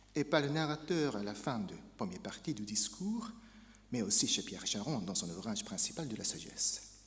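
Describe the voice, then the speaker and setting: In a Japanese accent, a man speaks with fairly high pitch, very wide pitch swings and vocal fry, with audible room echo. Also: moderate pace. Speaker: academic speaker. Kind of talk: conference lecture. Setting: academic conference.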